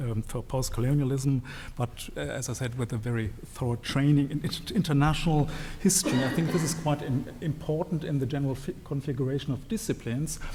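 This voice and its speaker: A man with a German accent, fairly high-pitched, at a fairly quick pace with ordinary pitch variation, against noticeable background noise. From Germany. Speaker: historian. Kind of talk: panel talk at a book launch. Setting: event with live audience. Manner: hesitant, many fillers and restarts.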